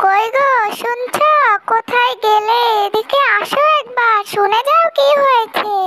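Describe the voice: A cartoonish character voice that sounds female comes out squeaky and extremely high in pitch. It moves at a fairly slow pace.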